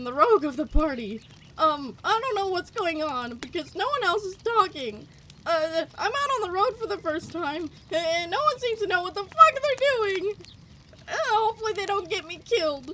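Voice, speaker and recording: Over clear background noise, a put-on character voice squeaks out at an extremely high pitch. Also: moderate pace. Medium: actual play. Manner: casual, hesitant.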